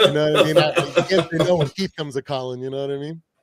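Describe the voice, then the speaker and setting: Speaking with an American accent, a man talks at a very fast pace in a dry, close sound with no echo. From Canada, Ontario near Detroit. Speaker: sports fan commentator. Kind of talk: casual chat. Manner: halting.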